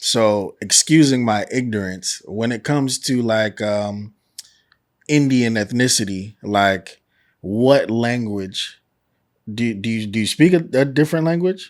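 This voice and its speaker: At a fairly slow pace, a man speaks with a medium pitch and ordinary pitch variation. He has an ordinary speaking voice. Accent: American. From New York. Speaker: podcast host. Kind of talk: casual interview.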